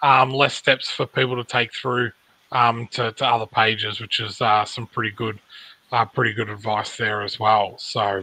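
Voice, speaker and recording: A man speaks with an Australian accent in a bright, sharp tone. His intonation stays monotone and flat. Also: fairly slow pace, dry sound with no echo. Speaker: podcast host. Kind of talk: casual chat. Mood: relaxed, friendly. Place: home room. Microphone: video call.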